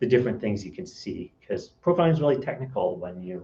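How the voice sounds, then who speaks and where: A man at a fairly quick pace, somewhat breathy, in a dark, mellow tone. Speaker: software consultant. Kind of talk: conference talk. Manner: fast.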